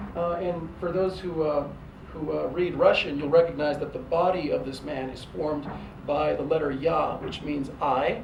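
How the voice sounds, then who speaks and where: Noticeable background noise and audible room echo surround a man whose fairly high voice keeps a fairly even intonation. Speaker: professor. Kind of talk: lecture. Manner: hesitant, many fillers and repetitions; fast.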